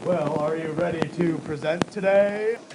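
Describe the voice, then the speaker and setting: Over clear background noise, a man does a put-on character voice, high in pitch, at a moderate pace. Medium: comedy sketch. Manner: concerned, encouraging.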